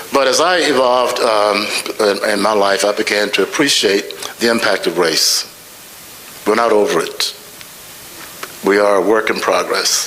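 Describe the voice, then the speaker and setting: The speaker leaves long, frequent pauses and keeps a very even loudness. Noticeable background noise runs underneath. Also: man, moderate pace. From US South. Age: 80s+. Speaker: scholar and author. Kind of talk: panel dialogue.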